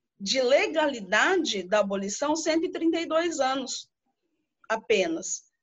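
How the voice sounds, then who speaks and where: A woman is speaking. Her pitch swings very widely. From interior of São Paulo state, Brazil. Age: 30s. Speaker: audience participant. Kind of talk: audience comment in online class.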